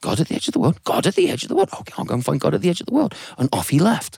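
The speaker is a man with an English accent and an animated tone. The sound is dry and close, without echo. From England. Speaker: storyteller. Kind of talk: live storytelling performance. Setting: studio with live audience. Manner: animated, acts out characters' hesitant voices.

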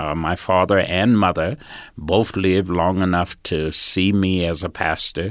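A man at a very deep, low pitch, a fairly slow pace and fairly even intonation, in a very clean recording with a silent background. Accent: Southern US. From US South, rural Georgia. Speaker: pastor. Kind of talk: interview.

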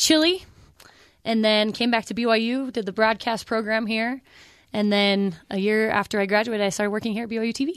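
A woman with an American accent and an unremarkable speaking voice, fairly high in pitch, at a fairly quick pace against a quiet background. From Pleasant Grove, Utah. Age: 30s. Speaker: sideline reporter. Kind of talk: radio interview.

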